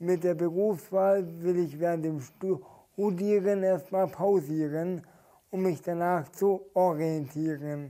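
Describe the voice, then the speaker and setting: Speaking at a very slow pace, a man with a high pitch and a dark, mellow tone keeps his intonation fairly even. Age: young. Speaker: poetry slammer. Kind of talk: poetry slam performance; interview. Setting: stage with audience.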